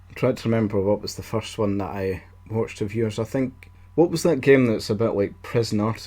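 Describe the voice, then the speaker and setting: Music plays in the background. A man speaks at medium pitch in a Scottish accent. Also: ordinary pitch variation, moderate pace, big swings in loudness. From Scotland. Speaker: quiz show host. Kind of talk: casual chat.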